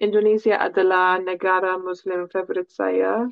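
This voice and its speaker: The speaker is a woman with an English accent and a medium pitch. She talks at a very slow pace. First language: English (speaking Indonesian). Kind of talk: casual chat. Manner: halting.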